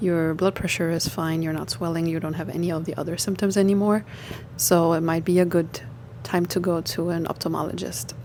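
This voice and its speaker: Over music in the background, a woman with a non-native accent talks at a fairly quick pace in a fairly low pitch with ordinary pitch variation. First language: not English. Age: 30s. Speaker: lifestyle vlogger. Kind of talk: personal story. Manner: hesitant, many fillers.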